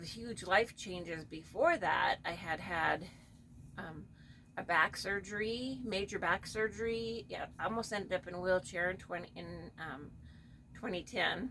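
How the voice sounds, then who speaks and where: The voice has vocal fry and a bright, sharp tone, with big swings in loudness. Its pace is fairly slow and its pitch varies in an ordinary way. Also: woman. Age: 60s. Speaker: doll collector channel host. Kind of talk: casual personal talk. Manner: halting, with many fillers.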